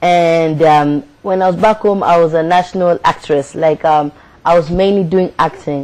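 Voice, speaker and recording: With a Kenyan accent, this voice holds a moderate pace, very even loudness and fairly even intonation. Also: woman, fairly low pitch for a woman. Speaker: spoken word poet and actress. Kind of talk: interview. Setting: studio.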